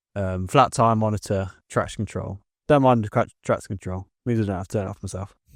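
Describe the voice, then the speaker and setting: A man with an English accent talks at a fairly quick pace, his pitch fairly low and his intonation fairly even. The recording is very clean and dry, close with no echo and a silent background. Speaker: car podcast co-host. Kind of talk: casual chat.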